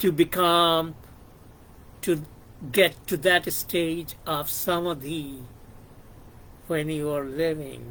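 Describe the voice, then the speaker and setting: Speaking at a very slow pace with long, frequent pauses, the voice carries a Bengali accent and fairly even intonation. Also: man. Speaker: YouTuber discussing psychology and philosophy. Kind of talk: reflective monologue. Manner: halting, many fillers.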